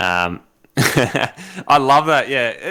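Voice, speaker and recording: On a very clean recording with a silent background, a man with an Australian accent speaks in a bright, sharp tone. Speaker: live stream talk show host. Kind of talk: casual chat. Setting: live stream. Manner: animated.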